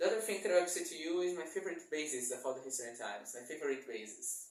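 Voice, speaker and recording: A man talks with a non-native accent. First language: not English. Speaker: bass guitar YouTuber. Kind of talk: casual channel introduction vlog. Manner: halting, self-correcting.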